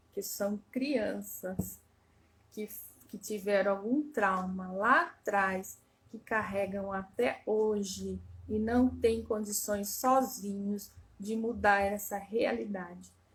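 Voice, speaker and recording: A woman speaks very slowly at a medium pitch, somewhat breathy, with ordinary pitch variation. Her loudness swings widely. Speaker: family constellation therapist. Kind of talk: live stream talk. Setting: Instagram live.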